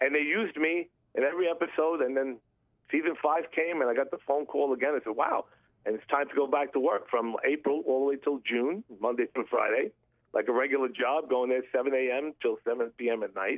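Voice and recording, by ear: At a fairly quick pace, a man with medium pitch speaks using ordinary pitch variation.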